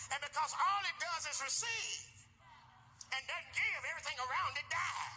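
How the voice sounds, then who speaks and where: Over music in the background, a man speaks at a moderate pace, his pitch swinging very widely. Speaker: preacher. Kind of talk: sermon. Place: church.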